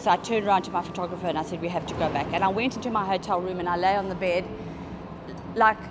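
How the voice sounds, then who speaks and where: A woman at a very fast pace, medium in pitch, with fairly even intonation and noticeable background noise. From South Africa. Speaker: journalist. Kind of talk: personal interview. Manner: halting.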